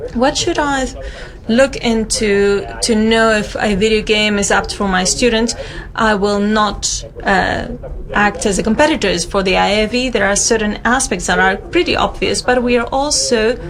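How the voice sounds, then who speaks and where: A woman's fairly high voice at a moderate pace, with ordinary pitch variation, very even loudness, audible room echo and noticeable background noise. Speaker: history education researcher. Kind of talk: conference talk.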